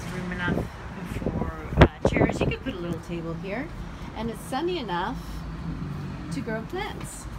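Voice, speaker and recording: A woman's moderately paced speech amid loud background noise. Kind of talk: property tour commentary. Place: street. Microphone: phone near.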